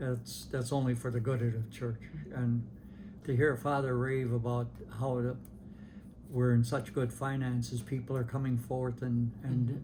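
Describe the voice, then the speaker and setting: A man speaks at a moderate pace in a monotone, flat intonation, his tone dark, mellow and somewhat breathy. Long, frequent pauses break up his speech, and audible room echo surrounds it. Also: medium pitch for a man. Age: 80s+. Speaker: longtime parishioner interviewee. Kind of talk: oral history interview. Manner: halting, many repetitions and fillers.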